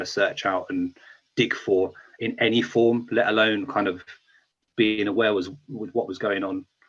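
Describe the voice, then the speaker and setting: A man speaks with a strong British accent at a moderate pace. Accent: thick UK. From England, small town outside London. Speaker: beat maker. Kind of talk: interview.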